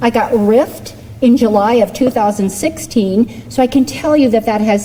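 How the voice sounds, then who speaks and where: Over noticeable background noise, a woman talks at a moderate pace with lively intonation and a fairly high pitch. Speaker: political candidate. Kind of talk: campaign speech. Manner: loud.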